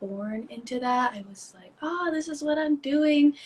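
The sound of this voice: With a slightly mellow tone and a slightly husky edge, a woman speaks at a fairly slow pace using ordinary pitch variation.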